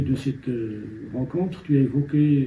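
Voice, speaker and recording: The man's voice is fairly high in pitch, somewhat breathy, and dark and mellow in tone. His intonation is fairly even. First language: Amazigh (Berber) (speaking French). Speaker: novelist. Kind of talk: interview. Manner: halting.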